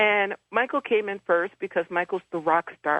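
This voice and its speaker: A woman with an American accent has an ordinary speaking voice at a medium pitch. She talks at a fairly slow pace with ordinary pitch variation. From Detroit, US Midwest. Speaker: angel medium and author. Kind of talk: radio interview.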